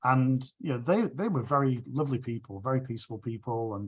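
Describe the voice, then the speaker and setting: Somewhat breathy, a man with an English accent speaks at a fairly quick pace and medium pitch on a very clean recording with a silent background. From England, Sheffield and Chelmsford. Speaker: rotary speaker. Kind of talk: q&a discussion.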